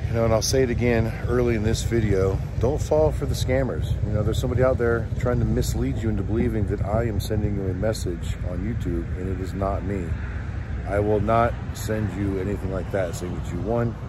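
A man speaks at a fairly quick pace. The sound is dry with no echo, though background noise is noticeable. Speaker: vendor vlogger. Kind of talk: casual vlog chat. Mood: earnest, slightly annoyed. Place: street. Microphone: phone near.

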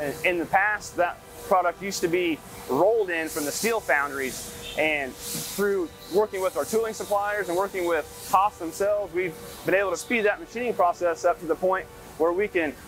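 Clear music plays behind a dry voice with no echo. The pace is moderate and the pitch variation ordinary. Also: man, high pitch for a man. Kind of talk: interview answer. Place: factory. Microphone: lapel.

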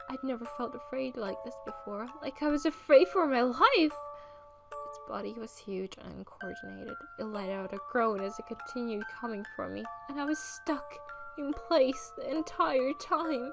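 Noticeable background noise sits under the voice. Its pace holds moderate. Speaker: fanfiction reader. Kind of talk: read story. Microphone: studio mic.

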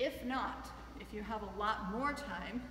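Faint noise and a clear echo from the room surround this woman's speech. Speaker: fitness coach. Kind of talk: tutorial. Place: gym. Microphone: camera far.

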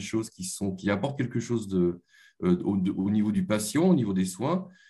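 A man's dark, mellow voice with lively intonation at a moderate pace, against a quiet background. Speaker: engineering researcher. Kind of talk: conference presentation. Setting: video call. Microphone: webcam.

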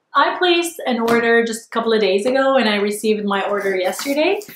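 Audible room echo follows a woman's voice. She has a fairly high pitch and lively intonation. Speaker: online shopping vlogger. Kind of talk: casual talk to camera. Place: home room.

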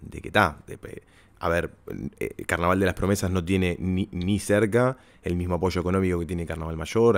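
In a very clean recording with a silent background, a man with a Uruguayan accent speaks at a very deep, low pitch. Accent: Uruguayan Spanish (Rioplatense). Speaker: podcast host and carnival performer. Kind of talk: casual interview chat.

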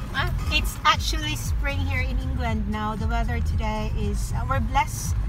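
A woman speaks at a fairly slow pace. Clear music plays in the background, and the sound is dry with no echo. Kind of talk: casual vlog chat. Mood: cheerful, joking. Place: car. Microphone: phone near.

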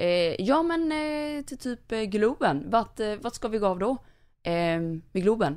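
In a very clean recording with a silent background, a woman with a fairly high pitch speaks at a very slow pace, her pitch swinging very widely. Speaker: podcast co-host. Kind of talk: casual interview.

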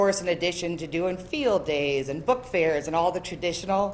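With ordinary pitch variation, a woman talks at a moderate pace. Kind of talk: presentation. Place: meeting room. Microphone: podium.

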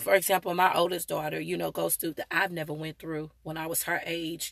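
A woman's bright, sharp voice with vocal fry, dry with no echo, against a quiet background. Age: 40s. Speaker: vlogger and mother. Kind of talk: live stream talk. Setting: live video stream. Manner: halting, many fillers. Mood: earnest, preachy. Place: car. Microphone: phone near.

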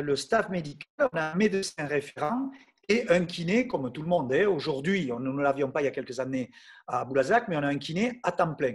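With a fairly high pitch, this man's voice makes big pitch swings.

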